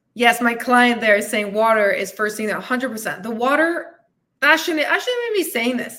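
Animated tone from a woman, high in pitch, with lively intonation. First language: not English. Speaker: fitness and weight loss coach, podcast host. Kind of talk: live-streamed podcast monologue with audience comments. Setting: live stream.

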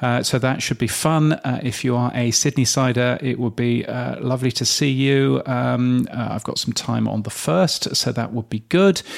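A man with a British accent and ordinary pitch variation, against noticeable background noise. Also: medium pitch for a man, moderate pace, hardly any pauses. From Britain. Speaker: podcast industry news editor and host. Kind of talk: casual chat. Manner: hesitant, many fillers.

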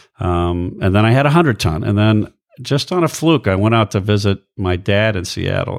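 On a very clean recording with a silent background, a man with an ordinary speaking voice talks at a fairly quick pace, at a fairly low pitch with ordinary pitch variation. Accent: American. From US, Air Force bases all over. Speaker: ship captain. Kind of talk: casual interview chat. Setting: host's living room.

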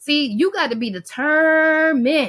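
A woman speaks in a high-pitched, raised, projected voice. Her tone is bright, sharp and animated. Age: 40s. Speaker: cleaning business podcast host. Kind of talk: casual motivational talk.

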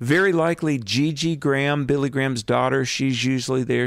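Using an ordinary speaking voice, a man talks at a moderate pace with a medium pitch and ordinary pitch variation. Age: 50s. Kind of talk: radio interview. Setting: on location in a historic theater.

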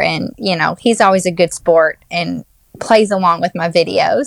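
In a dry, close recording with no echo, a woman with a Southern US accent speaks at a fairly slow pace with ordinary pitch variation. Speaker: Disney travel planner. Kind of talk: casual chat.

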